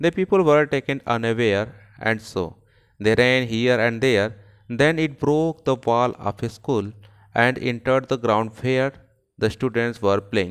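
The recording is very clean with a silent background. A man speaks at a medium pitch and a fairly slow pace, with ordinary pitch variation. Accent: Indian. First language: Hindi. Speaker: teacher. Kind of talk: lecture; dramatic narration. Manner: animated.

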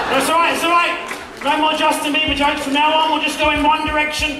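A raised, projected voice races at a very fast pace amid audible room echo and noticeable background noise. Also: man, extremely high pitch for a man. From Australia. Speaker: comedy juggler. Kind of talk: live stage comedy show with audience banter. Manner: frantic, manic, energetic. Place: stage.

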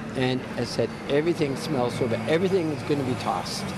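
Loud background noise surrounds this fairly quick speech, though the sound itself is dry with no echo. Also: man. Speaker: fire evacuee. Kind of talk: casual interview answers. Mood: weary, upset. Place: street. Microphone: handheld.

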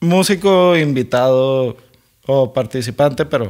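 The background stays quiet. A man speaks, his pitch varying in an ordinary way. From Mexico. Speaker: podcast co-host. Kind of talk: casual chat. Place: home room. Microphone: studio mic.

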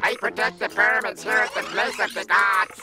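Using a put-on character voice, a man talks high for a man at a fairly quick pace. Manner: exaggerated stereotypical fake accent.

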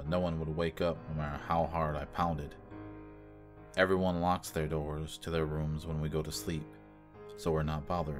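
Music plays in the background. Over it, a man speaks at a very deep, low pitch with ordinary pitch variation. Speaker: horror story narrator. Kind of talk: horror story narration.

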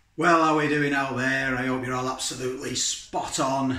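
A man talks at a moderate pace, his words carrying audible room echo. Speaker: vlogger. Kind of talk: casual vlog chat. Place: kitchen. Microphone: phone near.

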